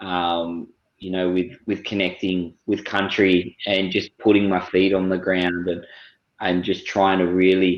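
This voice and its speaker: In an Australian accent, a man with a very deep, low pitch speaks at a fairly slow pace in a monotone, flat intonation. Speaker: First Nations cultural educator. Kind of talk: panel discussion.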